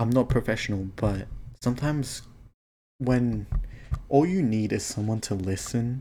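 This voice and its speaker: On a very clean recording with a silent background, a man with a dark, mellow tone speaks at a medium pitch and a fairly slow pace, with ordinary pitch variation. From Thailand, moved to Australia as a child. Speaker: vlogger. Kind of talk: casual monologue. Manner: halting, with fillers. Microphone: mic cutting out.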